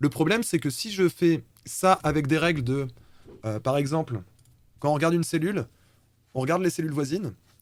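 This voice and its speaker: The speaker moves at a fairly quick pace with lively intonation, broken by long, frequent pauses. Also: man, fairly high pitch for a man. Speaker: live streamer presenting programming project. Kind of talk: live-streamed talk presentation. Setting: live stream. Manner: fast; casual, hesitant fillers.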